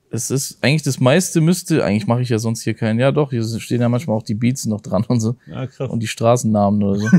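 Against a quiet background, a man with a medium-pitched, dark and mellow tone talks at a very fast pace with hardly any pauses and ordinary pitch variation. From southern Germany, near Stuttgart; southern Germany. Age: 20s. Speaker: rapper; guest. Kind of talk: casual interview. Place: studio. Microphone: lapel.

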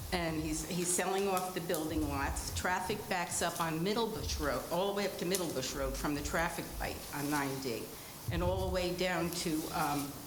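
With an American accent, a woman of fairly low pitch speaks at a moderate pace with ordinary pitch variation and very even loudness, amid noticeable background noise and audible room echo. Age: 80s+. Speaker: resident speaking at public hearing. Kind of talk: public comment at town meeting. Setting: town hall meeting at microphone.

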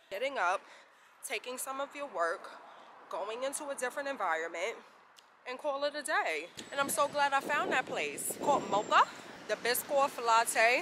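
A woman projects a raised voice at a moderate pace, with very wide pitch swings and long, frequent pauses. The sound is dry with no echo, and background noise is noticeable. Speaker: vlogger. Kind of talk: casual vlog chat. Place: street. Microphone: phone near.

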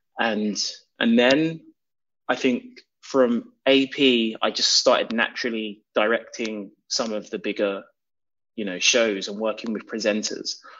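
A man with a London accent speaks at a fairly slow pace. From England. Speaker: documentary director. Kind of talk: interview.

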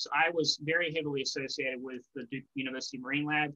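Over a quiet background, a man with a bright, sharp tone talks at a fairly quick pace with ordinary pitch variation. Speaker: presenter. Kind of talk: presentation talk. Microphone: webcam.

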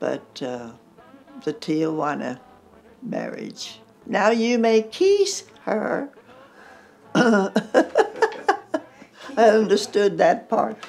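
A woman with an American accent speaks at a very slow pace, leaving long, frequent pauses. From United States. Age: 80s+. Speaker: country singer. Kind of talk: interview answer. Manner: lively. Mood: lively, amused storytelling. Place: home room. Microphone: lapel.

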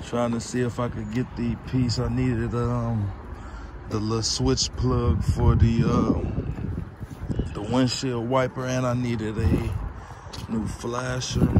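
A man speaks at a very slow pace. The sound is dry with no echo, and the background noise is loud. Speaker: car vlogger. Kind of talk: casual vlog chat. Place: open country. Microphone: phone near.

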